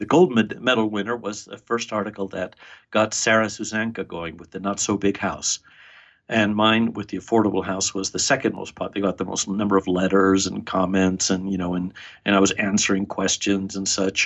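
A man with a fairly low pitch speaks at a fairly quick pace in monotone, flat intonation. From Argentina. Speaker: builder and author. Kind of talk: casual interview conversation.

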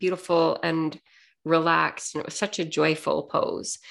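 A woman with a Canadian accent speaks at a fairly slow pace and fairly low pitch in a plain, everyday voice. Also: very clean recording, silent background. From Canada. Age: 60s. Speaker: podcast host and life coach. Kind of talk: personal storytelling monologue.

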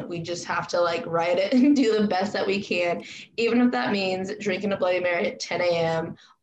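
Audible room echo surrounds a woman with an American accent whose pitch varies in an ordinary way. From Spokane, Washington. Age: 20s. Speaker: podcast host. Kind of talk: casual chat.

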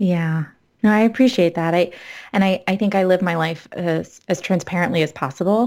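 A woman speaks in a normal speaking voice at a moderate pace, her fairly low pitch moving with ordinary variation over a very clean recording with a silent background. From South Florida, then Massachusetts from age fourteen. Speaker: licensed mental health counselor and yoga teacher. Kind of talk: casual chat.

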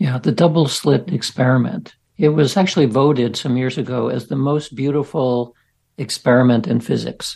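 The speaker has vocal fry and ordinary pitch variation. The pace is moderate. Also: man. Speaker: scientist researcher. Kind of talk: interview conversation.

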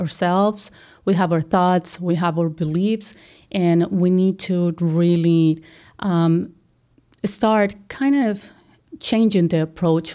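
In a Colombian accent, a woman talks at a very slow pace with a dark, mellow tone and fairly even intonation, on a very clean recording with a silent background. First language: Spanish. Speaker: accounting firm executive. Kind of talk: interview.

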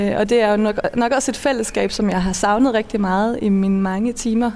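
A fairly high-pitched woman at a moderate pace, with noticeable background noise. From Denmark, Funen. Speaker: cellist, singer and composer. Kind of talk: interview. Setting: outdoors at a train station.

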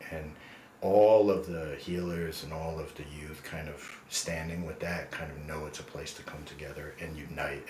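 A man's very deep, low voice with ordinary pitch variation and an American accent, over noticeable background noise. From US, New Jersey. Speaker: nonprofit executive director. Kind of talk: interview.

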